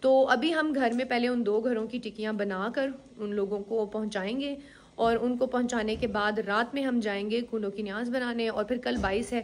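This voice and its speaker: A woman with a normal speaking voice talks at a moderate pace and fairly high pitch, her intonation fairly even. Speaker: vlogger. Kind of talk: casual vlog talk. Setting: at home.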